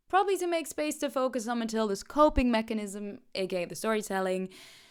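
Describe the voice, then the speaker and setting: In a very clean recording with a silent background, a woman speaks at a very fast pace with lively intonation. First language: not English. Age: 30s. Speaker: video essayist, performer. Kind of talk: video essay commentary. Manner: animated.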